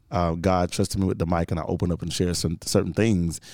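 Speaking at a very fast pace, a man has a very deep, low pitch and a Southern US accent. The recording is very clean, with a silent background. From Georgia, US South. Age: 30s. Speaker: radio host and podcaster. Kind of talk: casual chat.

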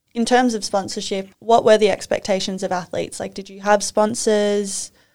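A woman speaks with an Australian accent in a very clean recording against a silent background. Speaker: podcast host, former figure skater. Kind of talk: interview.

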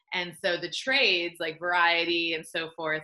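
This woman has an ordinary speaking voice with a fairly low pitch. She talks at a moderate pace. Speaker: filmmaker and panel moderator. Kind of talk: panel discussion. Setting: video call.

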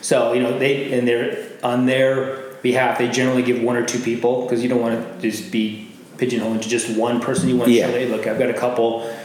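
Noticeable background noise sits behind a man with an American accent. He talks at a very fast pace, medium in pitch, with monotone, flat intonation. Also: hardly any pauses. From Arizona, Glendale. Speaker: business networker. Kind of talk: interview.

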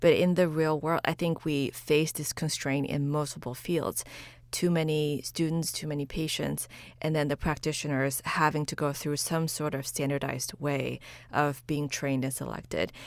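A woman with a Chinese accent speaks at a moderate pace, with a very deep, low pitch and monotone, flat intonation. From China, moved to US at eleven. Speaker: pediatrician and podcaster. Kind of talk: interview conversation.

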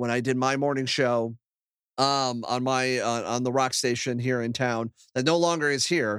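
A man speaks at medium pitch and a moderate pace. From Ohio, US Midwest (Akron). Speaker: podcast host and former radio host. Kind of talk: casual interview chat.

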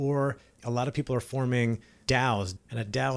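A man speaks at medium pitch and a moderate pace in an unremarkable speaking voice with fairly even intonation. The recording is very clean, with a silent background. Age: 40s. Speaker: podcast host, entrepreneur and coach. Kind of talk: solo podcast monologue. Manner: casual, conversational.

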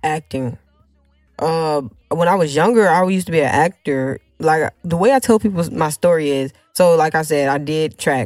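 Over music in the background, a woman talks at a moderate pace in a very deep, low voice with ordinary pitch variation. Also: dry, close sound with no echo. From US South (Alabama, moved around, incl. Texas). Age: 20s. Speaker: content creator and rapper. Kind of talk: casual interview chat.

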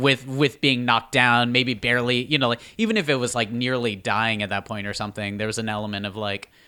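Bright, sharp tone and fairly even intonation from a man. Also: very clean recording, silent background. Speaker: player. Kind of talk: casual chat.

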